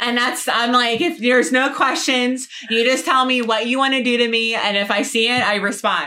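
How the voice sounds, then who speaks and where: Speaking with an American accent, a woman uses a high pitch, ordinary pitch variation and very even loudness at a moderate pace with hardly any pauses. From New Jersey. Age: 30s. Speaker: adult film performer. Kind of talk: casual chat. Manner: talkative.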